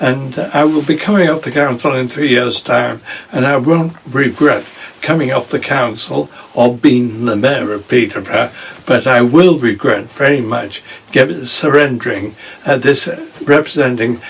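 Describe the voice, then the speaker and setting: Amid noticeable background noise, a man of medium pitch talks at a moderate pace with ordinary pitch variation. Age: 80s+. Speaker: local councillor and mayor. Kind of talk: casual interview.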